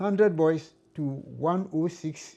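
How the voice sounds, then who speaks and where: A man speaks at a fairly slow pace in a fairly high pitch with ordinary pitch variation. His tone is dark and mellow. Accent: Ghanaian. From Ghana. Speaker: former accountant. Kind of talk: interview answer.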